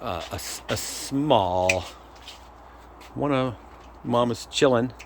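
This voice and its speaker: In a room with audible echo, a man talks very slowly at a medium pitch with ordinary pitch variation. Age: 60s. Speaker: cannabis grower vlogger. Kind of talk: casual chat. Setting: outdoors. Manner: halting.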